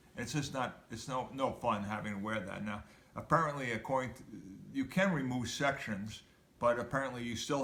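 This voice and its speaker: Heard with audible room echo, a man at a medium pitch talks at a moderate pace with ordinary pitch variation and big swings in loudness. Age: 70s. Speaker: video blogger sharing injury recovery. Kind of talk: personal recovery update and exercise tips. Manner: halting, with many fillers.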